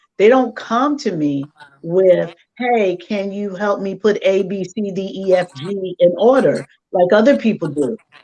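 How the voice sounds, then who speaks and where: Her pitch sits in the medium range for a woman. She speaks at a fairly slow pace with lively intonation. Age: 60s. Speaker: life coach and mother. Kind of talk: casual chat. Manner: animated.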